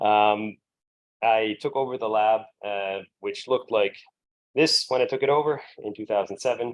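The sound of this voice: With an American accent, a man speaks at a fairly low pitch with ordinary pitch variation. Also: moderate pace.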